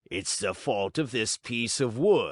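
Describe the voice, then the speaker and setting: Against a quiet background, a man uses a raspy put-on character voice at medium pitch and a fairly slow pace. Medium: read story. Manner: surly, quarrelsome.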